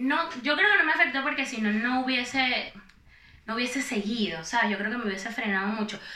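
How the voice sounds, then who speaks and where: A woman's high voice with lively intonation and a fairly quick pace, plus noticeable background noise and audible room echo. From Venezuela, Valencia (Carabobo). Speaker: influencer. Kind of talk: casual chat.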